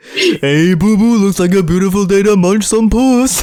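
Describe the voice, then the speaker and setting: A man performs a put-on character voice. It sits at a high pitch. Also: moderate pace. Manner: cheery, crude joke.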